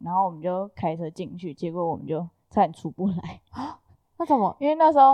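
With a dark, mellow tone at medium pitch, a woman talks at a fairly quick pace, her pitch swinging very widely and her loudness rising and falling sharply. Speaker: graduate student. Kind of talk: casual chat.

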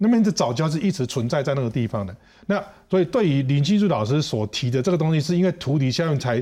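Very wide pitch swings mark this somewhat breathy, dark, mellow voice, which races along at a very fast pace in a very clean recording with a silent background. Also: man, fairly high pitch for a man. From Taiwan, Taichung. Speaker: marine biodiversity researcher. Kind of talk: interview.

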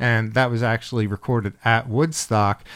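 A man's normal speaking voice at medium pitch and a moderate pace. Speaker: radio host. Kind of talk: radio DJ patter. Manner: chatty, playful, rambling with filler words; jokey, upbeat, bantering.

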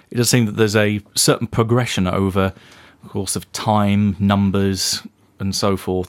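Speaking fairly quickly in a fairly low pitch, a man with an English accent keeps his intonation flat and monotone. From England. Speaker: podcast co-host, tabletop gamer. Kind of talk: casual chat.

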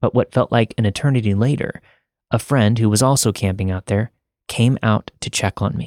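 Heard on a very clean recording with a silent background, a man with an unremarkable speaking voice talks at a fairly low pitch with fairly even intonation, the sound dry and close with no echo. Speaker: podcast narrator. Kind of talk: scripted horror narration of a listener's true story, read aloud. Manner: hushed, slow, suspenseful, building dread.

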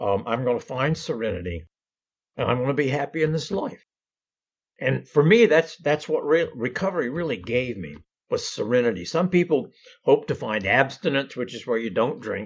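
A man speaks at medium pitch and a moderate pace. His voice has vocal fry and very wide pitch swings. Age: 70s. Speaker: retired physician and author in recovery. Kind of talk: casual interview, recovery story.

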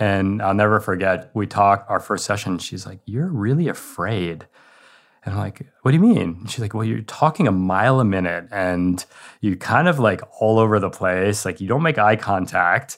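A man with a plain, everyday voice talks at a moderate pace and fairly low pitch, with ordinary pitch variation, on a very clean recording with a silent background. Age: 30s. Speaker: former finance worker turned writer and coach. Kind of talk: interview, conversational storytelling.

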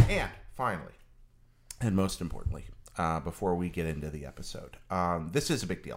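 With long, frequent pauses, a man speaks at a fairly quick pace in a very deep, low voice with ordinary pitch variation. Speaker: podcast host. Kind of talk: casual chat. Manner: fast.

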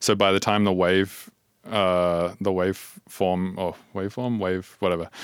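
Over a very clean recording with a silent background, a man speaks at a very deep, low pitch. His delivery is fairly slow, with monotone, flat intonation. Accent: Australian. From Australia. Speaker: podcast host. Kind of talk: casual interview chat. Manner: casual, filler-heavy.

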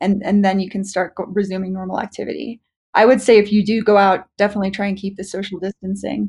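A woman with a medium-pitched, somewhat breathy voice talks very fast in a flat monotone. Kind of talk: casual chat.

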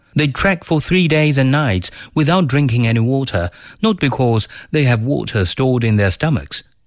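Over a quiet background, a man with a plain, everyday voice and a medium pitch speaks at a moderate pace, with lively intonation and very even loudness. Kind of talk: audiobook-style literary reading, bilingual Chinese and English essay narration. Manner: measured, calm, smooth and polished, clearly articulated reading pace.

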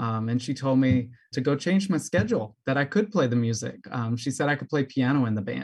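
In an American accent, a man with medium pitch talks at a fairly quick pace in an ordinary speaking voice. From US South, New Orleans. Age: 30s. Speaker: clarinetist and music educator. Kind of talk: interview conversation.

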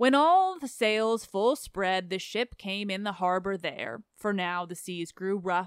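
At a fairly slow pace, a woman speaks at medium pitch with ordinary pitch variation in an ordinary speaking voice. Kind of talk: literary audiobook reading. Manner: steady, measured narration; formal, even-paced, flowing through long lists of place names.

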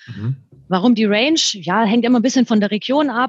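Somewhat breathy, the voice carries a slight southern German accent and sounds dry and close, with no echo. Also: woman. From southern Germany. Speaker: franchise recruiting director. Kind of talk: podcast interview.

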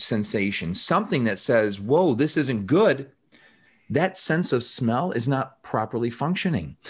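A man's fairly slow voice with vocal fry and very wide pitch swings, over a quiet background. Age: 40s. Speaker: author and natural health educator. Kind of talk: interview. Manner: animated.

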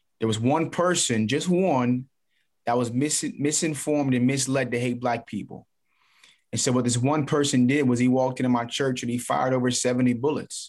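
In an American accent, a man with an unremarkable speaking voice talks at a fairly quick pace, at a medium pitch with fairly even intonation. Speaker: motivational speaker and former baseball player. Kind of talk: interview.

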